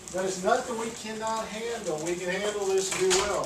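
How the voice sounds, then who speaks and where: Words come at a fairly quick pace against noticeable background noise. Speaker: accounting professor. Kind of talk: lecture. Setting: classroom, recorded on camera. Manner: mumbles; speaking loudly for the camera.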